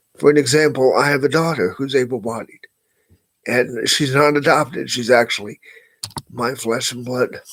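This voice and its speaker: A man with medium pitch and fairly even intonation talks at a moderate pace in an unremarkable speaking voice. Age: 60s. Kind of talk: personal monologue.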